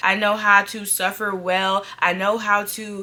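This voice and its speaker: The woman's voice sits at a medium pitch. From Atlanta. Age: 20s. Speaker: lifestyle vlogger. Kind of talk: casual talk to camera.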